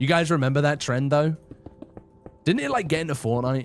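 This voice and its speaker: Over music in the background, a man talks loudly. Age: 20s. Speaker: gaming live streamer. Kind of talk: casual live stream chat while gaming. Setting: live stream. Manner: loud on stream.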